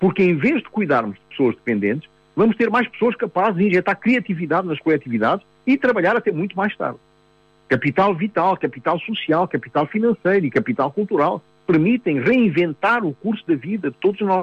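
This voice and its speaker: A man talks at a fairly quick pace with lively intonation. His pitch is high. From Mozambique. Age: 70s. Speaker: psychotherapist. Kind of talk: radio talk. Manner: hesitant, repeats words.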